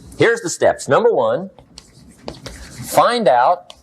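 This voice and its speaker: A man speaks while music plays in the background. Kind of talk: motivational speech to an audience. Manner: energetic, direct, storytelling.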